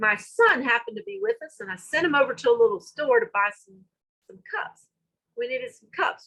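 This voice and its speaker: A woman with a Southern US accent, in a raised, projected voice with a bright, sharp tone, very wide pitch swings and a moderate pace. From US South. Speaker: school director. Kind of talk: conference talk. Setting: virtual summit session.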